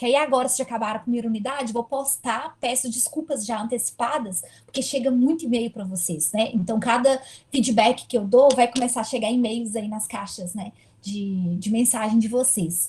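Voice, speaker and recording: A woman with a fairly high pitch uses an ordinary speaking voice, with ordinary pitch variation. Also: moderate pace. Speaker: university lecturer. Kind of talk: online lecture.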